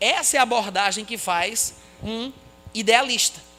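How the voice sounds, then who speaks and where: A man with an extremely high pitch uses a raised, projected voice and lively intonation. Music plays in the background. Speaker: Bible teacher. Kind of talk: lecture.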